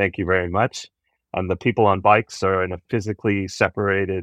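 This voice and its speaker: An ordinary speaking voice from a man, fairly low in pitch and fairly quick in pace, with a quiet background and a dry, close sound with no echo. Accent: Canadian. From Canada. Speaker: cycling advocacy organization leader. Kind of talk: podcast interview.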